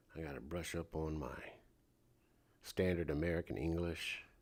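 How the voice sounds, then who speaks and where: A man speaks in a relaxed tone with a very deep, low pitch and fairly even intonation, at a fairly slow pace. The recording is very clean, the background silent. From St. Louis, US Midwest. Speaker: live streamer, pop culture commentator. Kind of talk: casual live-stream monologue. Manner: relaxed, conversational.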